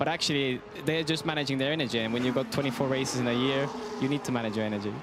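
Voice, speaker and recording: Clearly audible background noise runs through the clip. A man does the talking. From Estonia. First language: Estonian. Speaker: racing driver, guest commentator. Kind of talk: live commentary. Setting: commentary box.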